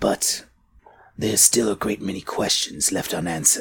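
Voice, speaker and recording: A man's raspy whisper in a put-on character voice, at a moderate pace. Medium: actual play. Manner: formal, elevated diction.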